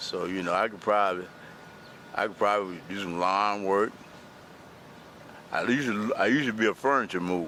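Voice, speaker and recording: Fairly quick speech from a man in a Southern US accent, fairly low in pitch, with ordinary pitch variation and long, frequent pauses. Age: 70s. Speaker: unhoused interviewee. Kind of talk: interview.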